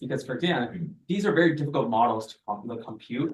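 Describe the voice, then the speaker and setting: Somewhat breathy, a man talks at a very fast pace. His pitch varies in an ordinary way, and audible room echo surrounds him. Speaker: teaching assistant. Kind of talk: lecture. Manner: animated.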